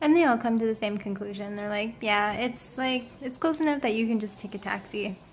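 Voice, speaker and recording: Somewhat breathy and fairly high-pitched, a woman talks at a fairly quick pace with ordinary pitch variation and hardly any pauses. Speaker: travel vlogger. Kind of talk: storytelling vlog. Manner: fast; animated.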